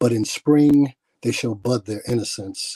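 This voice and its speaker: In a dry, close recording with no echo, a man with an American accent speaks at a medium pitch and a fairly slow pace, his somewhat breathy voice dark and mellow in tone with ordinary pitch variation. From Milwaukee, Wisconsin. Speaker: poet. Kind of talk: spoken word poetry performance. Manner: drawing in, rhythmic.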